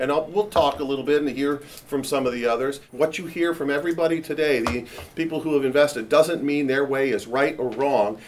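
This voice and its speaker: A man with a fairly high pitch speaks at a fairly quick pace with hardly any pauses and fairly even intonation, over noticeable background noise. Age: 60s. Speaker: real estate company founder, panel moderator. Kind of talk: panel discussion talk.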